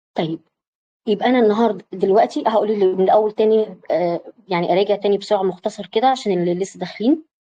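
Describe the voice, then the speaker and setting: This speaker talks at a very fast pace with an Egyptian accent. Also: woman, medium pitch for a woman, ordinary pitch variation. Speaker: psychology and self-awareness coach. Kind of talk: online lecture with live audience. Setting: online video session. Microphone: voice may be cutting in and out.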